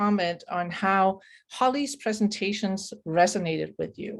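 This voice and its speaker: Here a woman speaks in a Danish accent. Her pitch variation is ordinary. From Denmark. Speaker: webinar moderator. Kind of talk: online webinar facilitation. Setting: video call.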